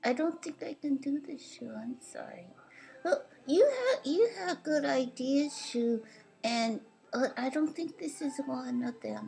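A cartoonish character voice, high-pitched and fairly slow. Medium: puppet show. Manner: exasperated, then politely playful.

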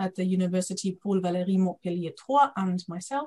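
The woman's voice is somewhat breathy. She speaks at a fairly quick pace. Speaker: academic conference moderator. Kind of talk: webinar moderation. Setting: video call. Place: home room. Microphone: video call.

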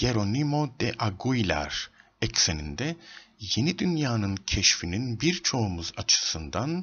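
A man speaks slowly at a medium pitch, his tone fairly bright with a slightly husky edge. His pitch swings are big.

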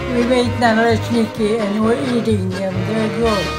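A woman at a fairly slow pace with an American accent, loud music in the background. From Buffalo, New York. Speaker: home cook. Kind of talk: casual cooking demonstration. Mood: cheerful, smiling. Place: kitchen. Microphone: webcam.

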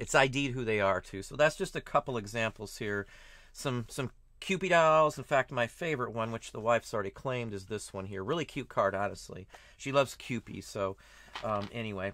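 A bright, sharp voice with an American accent and lively intonation moves at a fairly quick pace. The sound is dry, with no echo. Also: man, medium pitch for a man, quiet background. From Ohio, US Midwest. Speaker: online reseller. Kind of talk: casual vlog talk to camera. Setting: flea market. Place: home room. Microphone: webcam.

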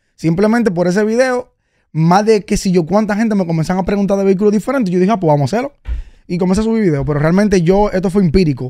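A man's very fast speech with a Dominican accent, high pitch, a dark, mellow tone and ordinary pitch variation against a quiet background. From Dominican Republic. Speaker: car content creator and vehicle advisor; podcast guest, car commentator. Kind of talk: casual interview. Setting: radio studio. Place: studio. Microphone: studio mic.

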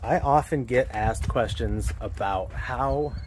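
The recording has a dry sound with no echo and light background noise. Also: man. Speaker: car channel host. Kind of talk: casual vlog chat. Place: street.

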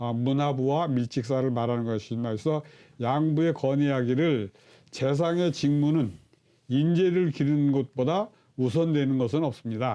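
Against a quiet background, a man with a dark, mellow tone speaks fairly slowly at a fairly high pitch with ordinary pitch variation. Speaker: Confucian clan scholar explaining history. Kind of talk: educational lecture-style explanation. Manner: formal, explanatory.

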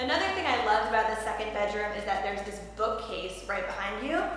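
A woman speaks at a fairly quick pace. There is strong room echo and light background noise. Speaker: vlogger. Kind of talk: casual vlog chat. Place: empty room.

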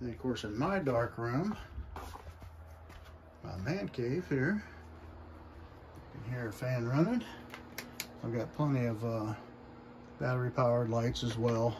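The speaker goes at a fairly slow pace with long, frequent pauses and ordinary pitch variation. Background noise is noticeable. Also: man. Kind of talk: casual vlog chat. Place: home room. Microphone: phone near.

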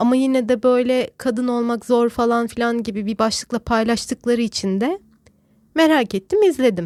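Speaking at a moderate pace, a woman with a high pitch is recorded with a dry, close sound and no echo. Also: very clean recording, silent background. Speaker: podcaster. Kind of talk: casual monologue.

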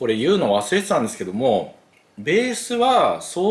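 A man is speaking. His pace is fairly slow. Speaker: game video host. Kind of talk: casual vlog chat. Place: kitchen.

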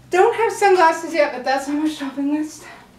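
Strong room echo surrounds a woman's high-pitched voice, which shows ordinary pitch variation. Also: moderate pace, slightly mellow tone.

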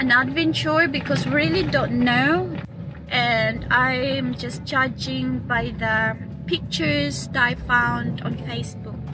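A woman speaks at a very slow pace, the sound dry with no echo, over noticeable background noise. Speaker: travel vlogger. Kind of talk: casual vlog chat. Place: car. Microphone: phone near.

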